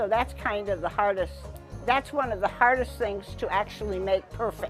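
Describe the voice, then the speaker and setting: A woman talks at a moderate pace as music plays behind her. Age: 80s+. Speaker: farmer. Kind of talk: interview answer.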